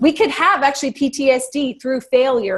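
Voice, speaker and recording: A woman speaks in a normal speaking voice, with ordinary pitch variation and a moderate pace. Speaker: life coach. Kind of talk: online workshop Q&A.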